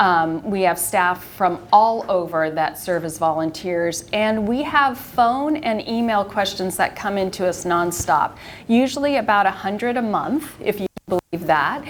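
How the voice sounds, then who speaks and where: A woman speaks in a plain, everyday voice at a medium pitch. Her intonation is lively and her pace fairly slow. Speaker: retired pharmacist and end-of-life volunteer. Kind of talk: community presentation. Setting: live presentation to a senior audience.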